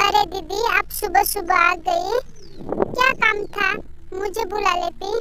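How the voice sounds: A woman talks at a fairly slow pace in a cartoonish character voice pitched extremely high, with noticeable background noise.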